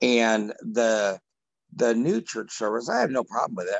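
An ordinary speaking voice from a man at a fairly quick pace. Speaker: group participant. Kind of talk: casual discussion.

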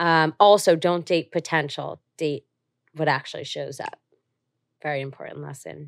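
A woman with a New Jersey accent takes long, frequent pauses. Her loudness swings widely, and the sound is dry and close with no echo. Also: moderate pace. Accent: New Jersey American. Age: 20s. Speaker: entrepreneur. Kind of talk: casual chat.

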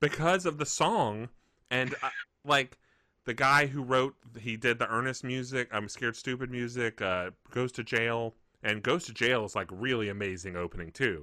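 Bright and sharp in tone, a man with a Southern US accent speaks at a moderate pace and medium pitch with ordinary pitch variation, on a very clean recording with a silent background. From Mississippi. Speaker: podcast co-host. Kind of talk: casual chat.

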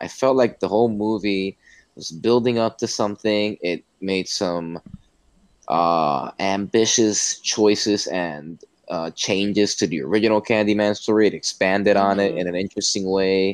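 The recording is dry and close with no echo as a man with an unremarkable speaking voice talks at a moderate pace, his pitch fairly low with ordinary pitch variation. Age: 20s. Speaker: podcast co-host, student. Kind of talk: casual chat.

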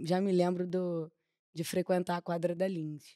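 A woman speaks in a monotone, flat intonation with a dry, close sound and no echo. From Rio de Janeiro, Boca do Mato. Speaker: samba school flag bearer. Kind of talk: casual chat.

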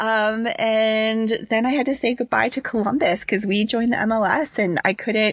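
Speaking in an American accent with hardly any pauses, a woman with a normal speaking voice keeps a fairly high pitch, moderate pace, very even loudness and ordinary pitch variation. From Cincinnati, Ohio, US. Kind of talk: casual chat.

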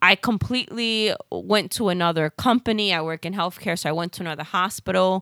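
With a New York accent, a woman speaks at a medium pitch and a moderate pace in a bright, sharp tone. The sound is dry and close with no echo, and the recording is very clean with a silent background. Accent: New York Bronx. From South Bronx, New York. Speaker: podcast co-host. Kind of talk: casual chat. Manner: banter, teasing.

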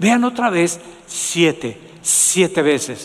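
Lively intonation over noticeable background noise. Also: man. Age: 70s. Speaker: pastor. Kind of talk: sermon.

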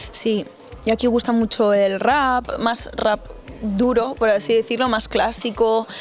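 Over noticeable background noise, a woman with a fairly high pitch speaks at a very slow pace, her loudness very even and her intonation fairly even. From northern Spain, Burgos province. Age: young. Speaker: R&B singer. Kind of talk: interview.

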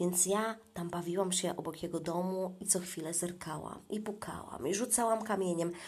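Her pitch sits at a medium level as a woman talks at a moderate pace, her intonation fairly even. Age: 40s. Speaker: podcaster. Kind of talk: casual monologue. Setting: in a bathtub at home.

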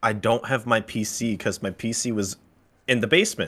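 A man with an ordinary speaking voice, medium pitch and moderate pace, in a very clean recording with a silent background. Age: 20s. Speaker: college student. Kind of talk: casual chat.

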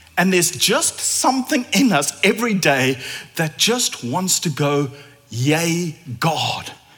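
Against noticeable background noise, a man speaks at a very slow pace and a high pitch, with very wide pitch swings but very even loudness. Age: 40s. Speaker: preacher. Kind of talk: sermon. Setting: church.

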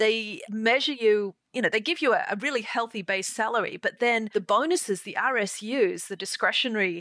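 Over a quiet background, a woman with an Australian accent and a fairly high pitch speaks at a moderate pace with ordinary pitch variation. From Sydney, Australia. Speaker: podcast host. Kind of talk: casual interview. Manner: laughs often.

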